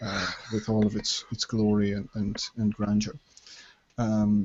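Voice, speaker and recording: Soft-spoken man, fairly low-pitched, in a monotone, flat intonation. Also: fairly slow pace. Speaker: discussion participant. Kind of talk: group discussion. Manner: halting. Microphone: very quiet.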